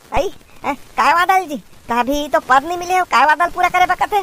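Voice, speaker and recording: A cartoonish character voice at a fairly quick pace. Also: woman, extremely high pitch for a woman. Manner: sarcastic, teasing.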